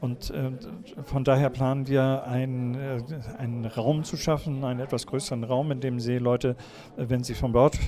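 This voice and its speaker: A man with a medium pitch talks in a normal speaking voice at a moderate pace. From Kiel, northern Germany. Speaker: seamen's mission deacon. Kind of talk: interview.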